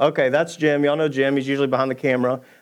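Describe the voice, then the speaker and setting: Against a quiet background, a man with a Southern US accent speaks at a medium pitch. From US South, Georgia. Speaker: church elder preaching. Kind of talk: sermon. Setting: church stage with congregation.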